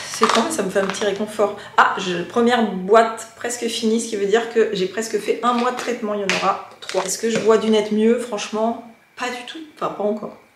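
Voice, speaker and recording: Noticeable background noise sits behind a woman with a fairly high pitch. She talks at a moderate pace with fairly even intonation and hardly any pauses. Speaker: lifestyle vlogger; vlogger. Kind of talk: casual vlog narration. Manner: chatty, hesitant with fillers. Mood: relaxed, chatty. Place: home room. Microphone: phone near.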